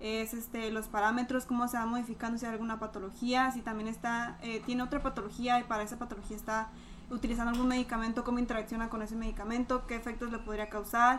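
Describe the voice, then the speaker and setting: A woman talks at a very fast pace in a monotone, flat intonation with a fairly high pitch. Noticeable background noise runs behind her. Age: 20s. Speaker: pharmacy student. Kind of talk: casual chat.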